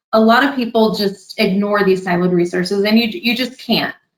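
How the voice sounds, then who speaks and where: A woman with a Californian accent, speaking at a fairly quick pace, her intonation fairly even. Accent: Californian, flat tone. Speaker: customer success director. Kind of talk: presentation. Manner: flat tone.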